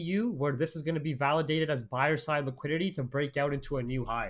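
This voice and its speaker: With a Canadian accent and ordinary pitch variation, the speaker talks at a fairly quick pace on a very clean recording with a silent background. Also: man. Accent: Canadian English; denies an Indian. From Canada, Toronto area (Oakville). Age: 20s. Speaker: forex trader and trading streamer. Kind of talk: live trading stream analysis. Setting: live stream. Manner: casual, animated.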